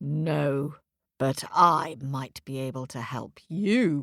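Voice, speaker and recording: A raspy, put-on character voice at a low-to-middle pitch moves at a very slow pace. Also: very clean recording, silent background. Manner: soft, persuasive.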